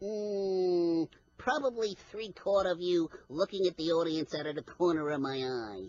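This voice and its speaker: This is a cartoonish character voice. Its pitch sits in the middle range. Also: moderate pace. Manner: cocky, wisecracking.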